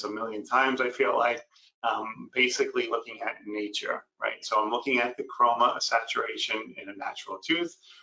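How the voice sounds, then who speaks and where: A man with an American accent at a fairly quick pace, with hardly any pauses. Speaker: dental ceramist and educator. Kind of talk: webinar lecture.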